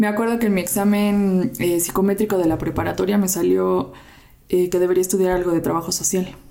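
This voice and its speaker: A woman's medium-pitched voice at a fairly quick pace, monotone and flat, at very even loudness, over noticeable background noise. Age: 30s. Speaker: volunteer charity organizer, works in marketing. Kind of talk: casual chat.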